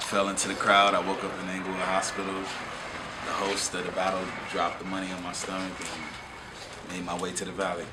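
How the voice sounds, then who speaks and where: A man with an American accent speaks at a moderate pace, hardly pausing, in a very deep, low, monotone, flat voice. Audible room echo and noticeable background noise surround him. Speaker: rapper. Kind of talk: interview. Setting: hip-hop venue. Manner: casual, halting with fillers.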